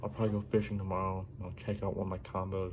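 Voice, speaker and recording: A soft-spoken man's voice at a fairly low pitch. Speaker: fishing YouTuber. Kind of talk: gear show-and-tell video. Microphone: no external mic, quiet recording.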